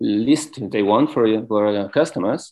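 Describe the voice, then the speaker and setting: A non-native accent at a fairly slow pace. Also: man. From France. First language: French. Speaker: yoga teacher and wellness business owner. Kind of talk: interview. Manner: halting.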